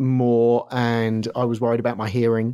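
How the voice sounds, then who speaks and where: This man speaks with a southern English accent. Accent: southern English, London-area. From Surrey, south of London, England. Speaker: music producer and DJ. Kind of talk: casual interview, storytelling. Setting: video or remote call from Los Angeles.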